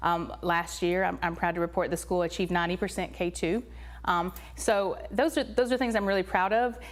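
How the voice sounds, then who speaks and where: A woman with a Tennessee accent speaks at a fairly quick pace with very even loudness on a very clean recording with a silent background. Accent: Tennessee accent, persistent. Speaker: elementary school principal. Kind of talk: interview.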